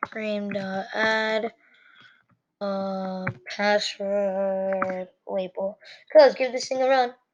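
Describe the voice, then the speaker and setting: A woman speaks very slowly. Her intonation stays fairly even. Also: long, frequent pauses. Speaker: coding tutorial youtuber. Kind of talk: tutorial. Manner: casual, filler-heavy.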